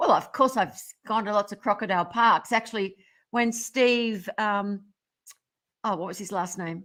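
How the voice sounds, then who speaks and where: On a very clean recording with a silent background, a woman talks at a moderate pace with ordinary pitch variation and big swings in loudness. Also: medium pitch for a woman. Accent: Australian. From Australia. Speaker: motivational speaker, former singer. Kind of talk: radio interview.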